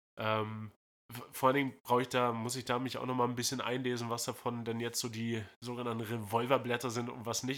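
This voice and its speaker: The man keeps a moderate pace at medium pitch, his intonation monotone and flat. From northern Germany. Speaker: podcast host. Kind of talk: casual chat. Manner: halting.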